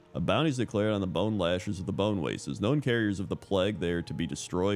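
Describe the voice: Plain reading aloud, the pitch varying in an ordinary way, fills the clip.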